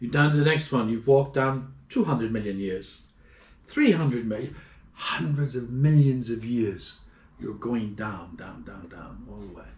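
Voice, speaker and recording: A man with an Irish accent talks at a moderate pace in a somewhat breathy, medium-pitched voice with ordinary pitch variation. His loudness swings widely, and the room echo is audible. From Ireland. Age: 60s. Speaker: traveler. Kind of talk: interview. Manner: animated.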